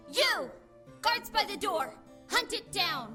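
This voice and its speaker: Clear music plays behind a put-on character voice that is extremely high, swings very widely in pitch, and moves at a fairly slow pace. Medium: read story.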